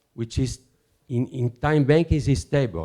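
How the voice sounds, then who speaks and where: Against a quiet background, a man with an Italian accent speaks fairly slowly at a medium pitch, his tone dark and mellow. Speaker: conference speaker, alternative currency researcher. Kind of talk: conference talk. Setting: conference with audience. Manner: halting, hesitant non-native English.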